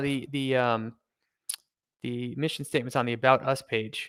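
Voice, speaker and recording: On a very clean recording with a silent background, a man speaks at a fairly high pitch. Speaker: investing channel host. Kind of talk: live stock research discussion. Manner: fast; hesitant, many fillers.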